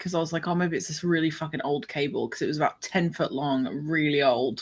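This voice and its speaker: A woman mumbles in a fairly low pitch. The recording is very clean, with a silent background. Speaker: podcast host and fiction writer. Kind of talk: casual chat. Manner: mumbling.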